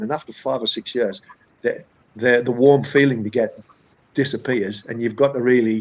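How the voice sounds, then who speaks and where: A man with a northern English accent at a fairly quick pace. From northern England. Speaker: accountant, firm founder. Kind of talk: podcast interview. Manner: conversational, many hesitations and repeats.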